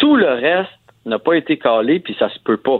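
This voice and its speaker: A man speaks with a Quebec accent. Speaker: radio host, hockey commentator. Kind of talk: casual chat.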